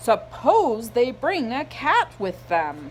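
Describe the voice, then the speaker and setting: A female-sounding voice puts on a character voice at a high pitch. It moves at a very slow pace over clear background noise. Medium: read story. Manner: grumbling, cantankerous.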